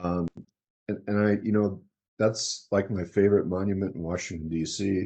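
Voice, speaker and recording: A man with an American accent talks at a fairly quick pace in a dark, mellow tone with a fairly low pitch. The background is quiet. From New York City. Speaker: retired surgeon and military officer. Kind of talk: lecture. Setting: talk with audience and slides.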